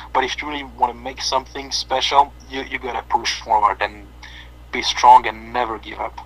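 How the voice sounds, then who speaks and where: Noticeable background noise surrounds a man with a French accent. He talks at a fairly quick pace. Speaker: metal band bass player. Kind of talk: interview. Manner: halting, many fillers.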